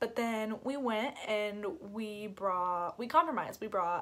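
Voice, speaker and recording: Loud and animated, a woman speaks against noticeable background noise. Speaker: YouTuber, mother. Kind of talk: casual vlog talk. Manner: loud, animated.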